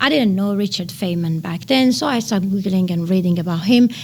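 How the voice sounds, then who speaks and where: Somewhat breathy and lively in intonation, a woman with a Persian accent speaks at a medium pitch. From Iran. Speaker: nanotechnology researcher. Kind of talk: podcast interview. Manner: hesitant, with many fillers.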